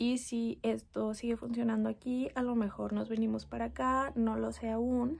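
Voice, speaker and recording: A soft-spoken woman at a moderate pace, very even in loudness, with hardly any pauses. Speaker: mom vlogger. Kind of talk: casual talk to camera, personal storytime.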